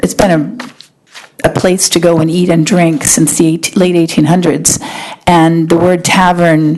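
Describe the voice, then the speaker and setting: With noticeable background noise, a woman speaks at a moderate pace in a fairly low voice. Her intonation is monotone and flat. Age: 60s. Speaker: restaurant owner. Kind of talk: public hearing testimony. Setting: town planning board meeting.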